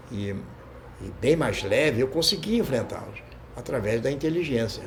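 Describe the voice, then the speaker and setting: A man with a mid-range pitch talks at a moderate pace with lively intonation, and the room echo is audible. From Brazil, Rio de Janeiro south zone. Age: 70s. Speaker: martial arts fighter and coach. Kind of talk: interview.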